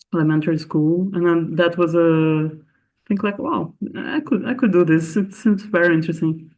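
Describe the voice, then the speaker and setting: With a Portuguese accent, a man speaks at a moderate pace in a high pitch. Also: ordinary pitch variation. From Brazil. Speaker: astronomer. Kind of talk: interview. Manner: halting, many fillers.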